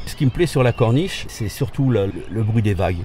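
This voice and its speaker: Noticeable background noise accompanies a man with a fairly low pitch. He keeps a moderate pace. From France. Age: 60s. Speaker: retired expatriate. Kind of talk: interview testimony. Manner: halting, many repetitions.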